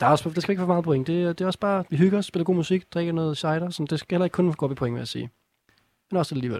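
Very fast and high-pitched, a man talks with ordinary pitch variation in a dry, close recording with no echo. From North Zealand, Denmark. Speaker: radio music quiz host. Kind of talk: casual chat. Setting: studio.

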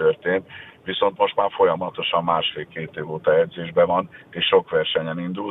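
The speech moves at a fairly quick pace. Noticeable background noise runs behind it. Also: man. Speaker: national swimming coach. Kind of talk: radio interview.

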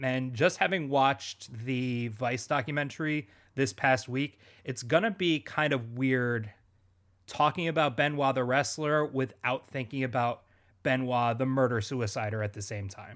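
On a very clean recording with a silent background, a man with medium pitch talks at a moderate pace with ordinary pitch variation in a plain, everyday voice. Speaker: podcast host. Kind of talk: casual chat.

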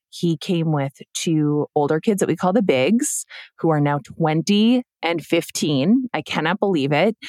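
A woman with a normal speaking voice talks at a fairly slow pace in a fairly low pitch, her intonation lively and the sound dry and close with no echo. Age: 30s. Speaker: author and podcaster, widow. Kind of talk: personal testimony in interview.

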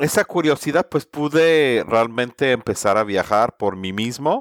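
A man with an English accent speaks at medium pitch. The recording is very clean with a silent background, and the sound is dry and close with no echo. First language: English (speaking Spanish). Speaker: sustainability consultant. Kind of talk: interview.

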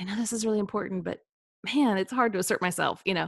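A woman talks with an American accent and ordinary pitch variation. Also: very clean recording, silent background. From US Midwest, Kansas City. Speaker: personality coach. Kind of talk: casual interview.

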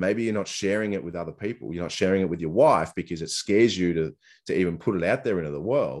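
Over a quiet background, a man with an Australian accent speaks very fast in a very deep, low pitch with ordinary pitch variation. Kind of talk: casual interview chat. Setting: remote call.

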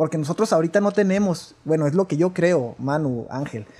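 A man speaks with a northern Mexican accent, high-pitched but dark and mellow in tone. His pace is fairly quick and his intonation lively. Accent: northern Mexican (Chihuahua). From rural Chihuahua, northern Mexico. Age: 30s. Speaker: church musician. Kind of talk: casual chat. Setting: at home.

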